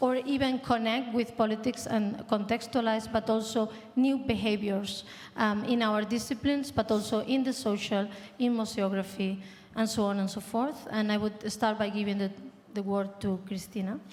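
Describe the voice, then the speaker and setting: The speaker has a Spanish accent and a moderate pace. The intonation is fairly even. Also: woman, fairly high pitch for a woman. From Spain. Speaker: panel moderator, art institute director. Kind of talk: panel discussion.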